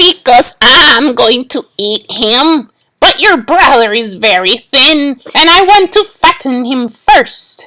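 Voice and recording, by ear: A woman uses a put-on character voice, high and bright, sharp in tone, moving at a slow pace with lively intonation.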